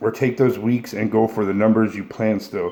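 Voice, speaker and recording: Dark and mellow describes the tone. The speaker here is a man. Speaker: powerlifter answering viewer questions. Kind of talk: casual Q&A monologue. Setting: solo video recording. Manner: fast; profane, blunt.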